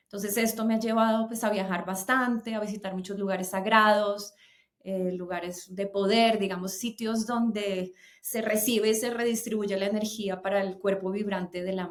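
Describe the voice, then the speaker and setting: At a moderate pace, a woman speaks in monotone, flat intonation. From Colombia. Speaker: singer and voice teacher. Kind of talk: interview conversation.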